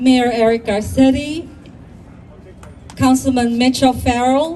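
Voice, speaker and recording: Crowd noise fills the background as a woman speaks in a high voice with ordinary pitch variation. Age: 70s. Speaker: community leader. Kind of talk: ceremony speech. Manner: halting.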